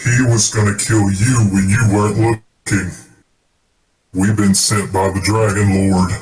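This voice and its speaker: Robotic put-on character voice of a man, fairly low in pitch, at a fairly slow pace. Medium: actual play. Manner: scheming, persuasive.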